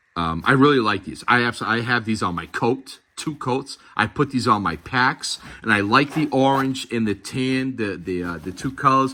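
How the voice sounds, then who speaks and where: With a Boston accent, a man talks at a moderate pace and medium pitch, his bright, sharp tone showing ordinary pitch variation and hardly any pauses. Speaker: gear reviewer. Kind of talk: product review tutorial. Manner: casual, halting with fillers.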